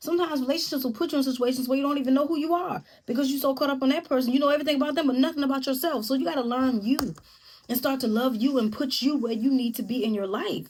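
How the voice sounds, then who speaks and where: A woman speaks at a very fast pace in an animated tone. Her pitch is high, with ordinary pitch variation. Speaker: YouTube host giving relationship advice. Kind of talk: casual monologue to camera.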